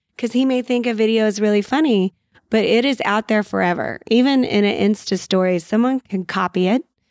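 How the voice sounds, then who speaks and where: Fairly high pitch from a woman with a Texan accent, at a fairly quick pace with ordinary pitch variation and very even loudness, in a dry, close sound with no echo. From US South, San Antonio, Texas. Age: 40s. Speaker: mom entrepreneur and web show creator. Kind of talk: casual interview chat.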